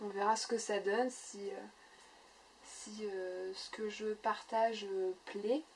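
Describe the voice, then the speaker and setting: At a very slow pace, a woman speaks in a fairly high, monotone voice with flat intonation and big swings in loudness. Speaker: scrapbooking YouTuber. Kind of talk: casual chat. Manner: halting, many fillers.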